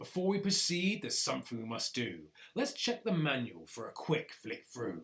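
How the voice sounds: A gruff, put-on character voice moves along at a moderate pace. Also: man, fairly high pitch for a man.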